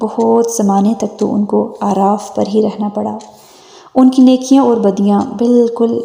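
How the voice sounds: In a dark, mellow tone with vocal fry, a woman speaks at a medium pitch and a fairly slow pace with little pitch movement.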